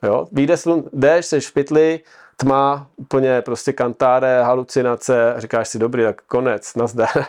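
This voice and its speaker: With a normal speaking voice, a man talks at a fairly slow pace in a medium pitch with ordinary pitch variation, in a dry, close sound with no echo. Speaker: triathlete and adventurer. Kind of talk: casual chat.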